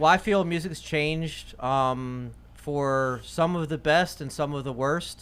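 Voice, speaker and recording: An unremarkable speaking voice from a man with an American accent, fairly high in pitch, at a fairly slow pace with hardly any pauses and fairly even intonation. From Virginia and Florida, US. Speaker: DJ. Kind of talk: casual interview.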